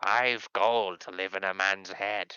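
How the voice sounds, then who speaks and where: A raspy put-on character voice from a man, fairly low in pitch, at a fairly slow pace. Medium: actual play.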